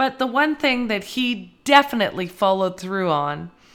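On a very clean recording with a silent background, a woman has an unremarkable speaking voice, a fairly high pitch, and lively intonation.

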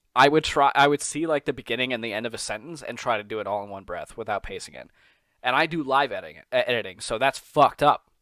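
Animated and with an American accent, a man talks at a very fast pace in a bright, sharp tone at medium pitch, with ordinary pitch variation, big swings in loudness, and a dry, close sound with no echo. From New York. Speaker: podcast host. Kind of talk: casual chat. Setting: video call.

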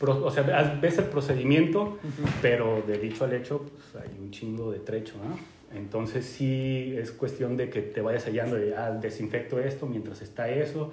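At a fairly slow pace with hardly any pauses, a man with a Mexican accent speaks at medium pitch with ordinary pitch variation, amid noticeable background noise and audible room echo. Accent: Mexican Spanish (Jalisco). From Mexico, Guadalajara, Jalisco. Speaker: home brewer. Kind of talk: casual chat.

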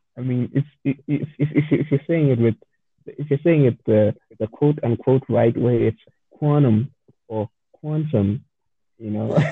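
A man with a South African accent, medium in pitch, with ordinary pitch variation, a fairly slow pace and long, frequent pauses. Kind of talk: casual chat. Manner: stammering, repeats words.

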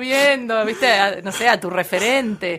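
A woman speaks in a raised, projected voice at a fairly slow pace. Her pitch swings very widely over noticeable background noise. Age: 30s. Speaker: radio announcer. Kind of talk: casual chat.

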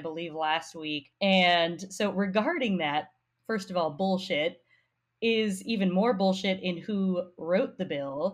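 A woman speaks at a medium pitch in a normal speaking voice with an American accent. Her pace is fairly slow. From Colorado. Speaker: podcast guest. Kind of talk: political discussion podcast.

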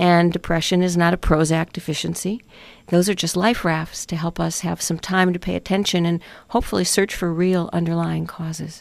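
A woman with a plain, everyday voice talks at a moderate pace and fairly low pitch. Her intonation stays fairly even on a very clean recording with a silent background. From Chicago, US Midwest. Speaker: doctor and author. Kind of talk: interview. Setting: radio studio.

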